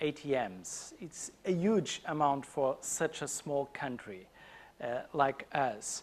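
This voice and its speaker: A man talks very slowly. His pitch varies in an ordinary way. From Portugal. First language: Portuguese. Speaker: conference speaker. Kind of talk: conference talk. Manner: halting, many fillers.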